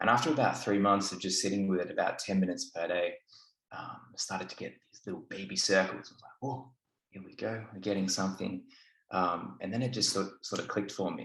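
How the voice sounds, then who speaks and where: A man with an Australian accent talks at a fairly quick pace and a fairly low pitch. His intonation stays fairly even, while his loudness swings a lot. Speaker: didgeridoo student. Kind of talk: casual chat.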